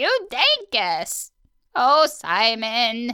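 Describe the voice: A female-sounding put-on character voice, high in pitch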